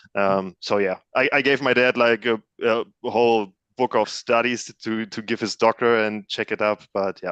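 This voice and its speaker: This man talks at a moderate pace in a German accent, his intonation monotone and flat. The sound is dry and close, with no echo. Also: medium pitch for a man. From Germany, near Cologne. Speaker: panel guest. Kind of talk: casual chat.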